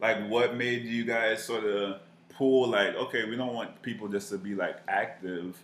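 Amid audible room echo, a man at medium pitch speaks fairly slowly in a flat monotone. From Miami, Florida. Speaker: marketing professional. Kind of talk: casual chat.

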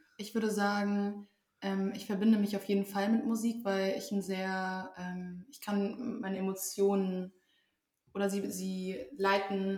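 A woman's somewhat breathy voice, flat and monotone, at a fairly slow pace with big swings in loudness. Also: medium pitch for a woman. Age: 20s. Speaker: social work student and amateur actor. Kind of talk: casual chat. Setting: at a table in the host's home.

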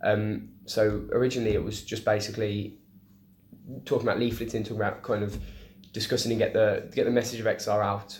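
With a Birmingham accent, a man speaks fairly quickly in a fairly low, somewhat breathy voice, his intonation monotone and flat, amid audible room echo. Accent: Birmingham (Brummie) English. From English Midlands, Birmingham. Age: young. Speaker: climate activist. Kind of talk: casual interview. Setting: in person at a bar.

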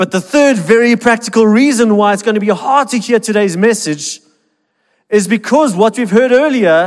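A man talks loudly in a high voice. His intonation is lively. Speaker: pastor. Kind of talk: sermon. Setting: church.

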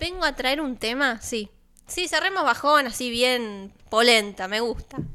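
Fairly slow speech in a bright, sharp tone with lively intonation. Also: woman, high pitch for a woman. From Argentina, Balcarce (Buenos Aires province). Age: 20s. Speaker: radio host. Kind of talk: casual radio chat. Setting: studio.

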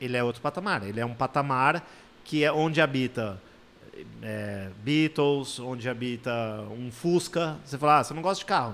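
This man has an ordinary speaking voice, talking at a moderate pace with medium pitch and ordinary pitch variation. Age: 40s. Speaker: motorsport journalist. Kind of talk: casual interview.

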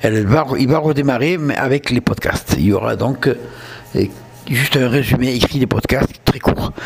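Over noticeable background noise, a man with a southern French accent speaks at a fairly slow pace with very even loudness. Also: medium pitch for a man, ordinary pitch variation. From southern France. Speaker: podcast host. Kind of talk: casual monologue. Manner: hesitant.

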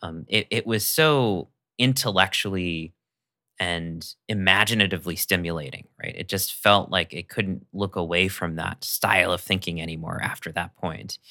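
A man speaks at a very deep, low pitch with a bright, sharp tone, ordinary pitch variation and a moderate pace. The recording is very clean with a silent background, and the sound is dry and close with no echo. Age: 30s. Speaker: writer and podcaster. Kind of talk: casual chat.

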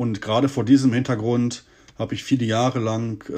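This man has a dark, mellow, somewhat breathy tone, medium pitch, fairly even intonation and a moderate pace. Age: 40s. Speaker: podcast host. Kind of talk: personal monologue. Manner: hesitant with filler sounds.

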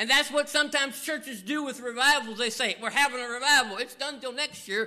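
A man with a Southern US accent projects a raised voice at an extremely high pitch. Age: 50s. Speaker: pastor. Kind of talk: sermon.

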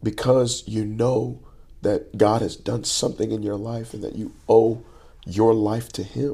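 A man with a Texan accent speaks at a fairly slow pace and medium pitch, his dark, mellow tone somewhat breathy, his intonation monotone and flat, and his loudness swinging widely. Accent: Texan American English. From Texas, Dallas area. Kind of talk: interview, personal testimony. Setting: in person, before a church event. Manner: halting, many false starts.

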